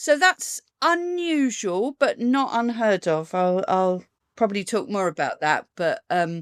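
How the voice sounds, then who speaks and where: Speaking at a fairly slow pace with a southern English accent, a woman uses a fairly high pitch and very wide pitch swings, captured on a very clean recording with a silent background and a dry, close sound with no echo. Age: 60s. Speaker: burlesque performer. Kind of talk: interview.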